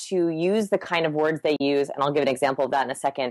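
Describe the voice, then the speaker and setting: The recording is dry and close, without any echo. A woman talks in it. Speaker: human behavior researcher. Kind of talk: podcast interview. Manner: fast.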